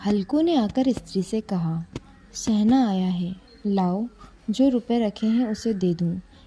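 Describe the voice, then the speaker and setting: Lively intonation marks this woman's fairly high, somewhat breathy voice with its dark, mellow tone. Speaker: storyteller. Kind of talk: literary short story reading.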